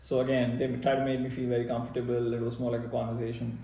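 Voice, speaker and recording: With audible room echo around him, a man of medium pitch talks at a very fast pace with fairly even intonation. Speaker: MBA applicant sharing experience. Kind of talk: personal vlog narration. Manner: hesitant with many fillers.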